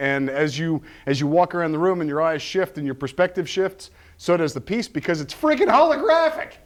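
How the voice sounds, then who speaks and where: A man speaks with a fairly high pitch. The background is quiet. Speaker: prop and set builder. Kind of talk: workshop tutorial. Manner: fast.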